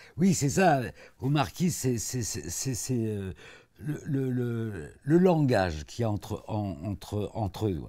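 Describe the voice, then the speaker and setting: In a quiet setting, a man of medium pitch with a dark, mellow tone talks at a very slow pace, his pitch swinging very widely. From born in Africa, lived mostly in Italy. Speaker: author and painter, former actor; guest. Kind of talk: interview. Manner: halting, many repetitions. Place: studio. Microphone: lapel.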